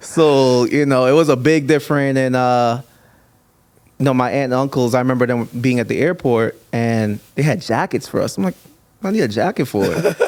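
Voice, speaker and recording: Speaking at a moderate pace with an American accent, a man has a medium-pitched voice with ordinary pitch variation. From Trinidad, then New Jersey from age seven. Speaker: DJ. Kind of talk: casual interview chat.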